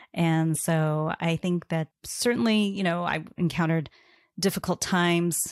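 A woman with an American accent and an ordinary speaking voice talks at a moderate pace and a fairly low pitch with fairly even intonation, in a very clean, dry, close recording with a silent background and no echo. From US Midwest and Bible Belt. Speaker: design executive. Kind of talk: interview.

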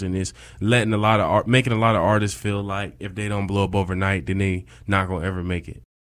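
A man with an American accent speaks very fast in a fairly low pitch and a monotone, flat intonation. The recording is very clean, with a silent background. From upstate New York (Rochester). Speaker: college student and campus DJ. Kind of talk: casual interview.

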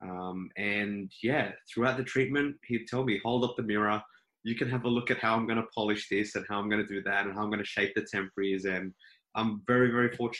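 The speaker has an Australian accent and a bright, sharp tone, moving at a fairly quick pace with fairly even intonation. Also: man, medium pitch for a man. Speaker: dentist. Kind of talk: casual interview.

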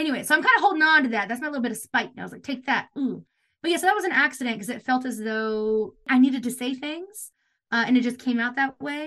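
A woman speaks very fast in a raised, projected voice. Her pitch is high, with ordinary pitch variation. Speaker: theater director and playwright. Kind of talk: casual interview chat. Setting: video call.

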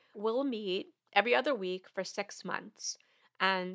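A woman with an American accent has an unremarkable speaking voice, medium pitch and ordinary pitch variation, talking at a moderate pace in a very clean recording with a silent background and a dry, close sound with no echo. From New York. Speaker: money coach and podcast host. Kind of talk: podcast monologue.

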